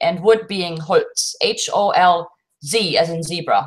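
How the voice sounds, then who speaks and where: A woman of medium pitch speaks with lively intonation in a German accent. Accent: German accent, still present. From Germany. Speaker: co-host of a bushcraft livestream. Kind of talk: casual livestream chat.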